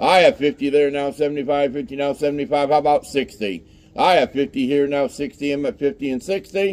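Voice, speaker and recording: A man talks with a plain, everyday voice at a fairly high pitch. His pace is fairly slow and his pitch varies in an ordinary way. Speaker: storage auctioneer. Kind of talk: auction bid calling. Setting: live outdoor storage unit auction. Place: street. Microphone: camera far.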